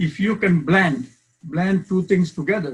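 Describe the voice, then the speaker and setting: A man with a Bangladeshi accent, high-pitched, lively in intonation, at a fairly slow pace. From Bangladesh, Chittagong. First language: Bengali. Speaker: professor. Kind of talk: lecture. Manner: loud.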